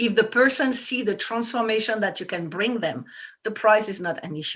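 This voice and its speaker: A woman speaks with a French accent at a fairly quick pace. Her pitch is fairly high with ordinary variation, over a quiet background. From France. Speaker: business coach for women entrepreneurs. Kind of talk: interview. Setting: talk radio show.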